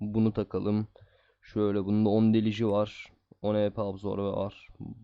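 This man speaks at a moderate pace. His fairly low voice stays monotone and flat. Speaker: gaming YouTuber. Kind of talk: gameplay commentary. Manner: casual, chatty.

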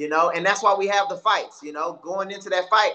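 A man with an American accent. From Houston, Texas. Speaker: MMA fighter; guest. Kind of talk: casual interview. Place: home room. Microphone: video call.

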